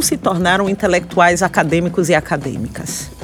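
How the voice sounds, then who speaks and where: A woman speaks with a Bahian accent in a fairly low pitch. Music plays in the background. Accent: Bahian accent, kept deliberately. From Salvador, Bahia, Brazil. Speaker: historian and university professor. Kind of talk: interview conversation. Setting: podcast recording on location.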